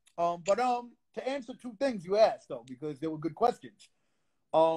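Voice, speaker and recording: A man with a high, dark, mellow voice speaks at a moderate pace, with very wide pitch swings and big swings in loudness. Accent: Brooklyn. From Brooklyn, New York. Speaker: underground rapper. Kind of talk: casual interview. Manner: animated.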